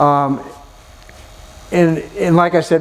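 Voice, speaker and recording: Noticeable noise fills the background. Over it, a man talks with normal pitch movement. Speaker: agricultural sales speaker. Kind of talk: conference presentation. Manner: fast.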